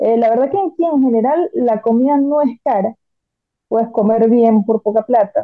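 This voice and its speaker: In an ordinary speaking voice, a woman talks at a moderate pace with a fairly high pitch, ordinary pitch variation and very even loudness. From Venezuela. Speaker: arts graduate working in press communications. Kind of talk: casual chat.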